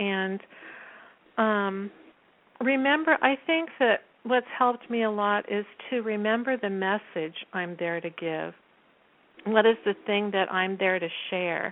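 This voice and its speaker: A woman speaks fairly slowly, with long, frequent pauses. Her pitch is medium, with ordinary variation. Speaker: theater school teacher and performer. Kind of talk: interview. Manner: halting.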